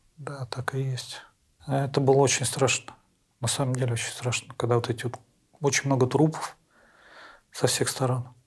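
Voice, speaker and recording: Somewhat breathy, a man at medium pitch talks at a moderate pace in a monotone, flat intonation with long, frequent pauses. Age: 40s. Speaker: prisoner of war, contract soldier. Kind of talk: interview. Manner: halting.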